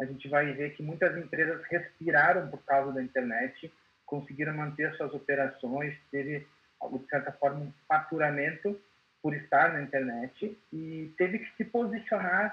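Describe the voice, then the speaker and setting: A man with a fairly high pitch and ordinary pitch variation has an ordinary speaking voice. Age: 30s. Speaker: IT consultant. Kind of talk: webinar presentation.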